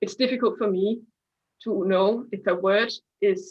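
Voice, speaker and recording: A woman with a Danish accent speaks at a medium pitch with fairly even intonation. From Denmark. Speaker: scientist and science communicator. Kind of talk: online interview. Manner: halting.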